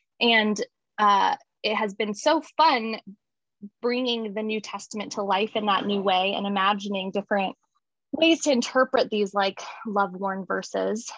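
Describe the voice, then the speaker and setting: A woman talks fairly slowly in a plain, everyday voice, at a medium pitch with ordinary variation. The sound is dry and close, with no echo. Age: 30s. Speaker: divinity school student. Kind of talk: casual chat.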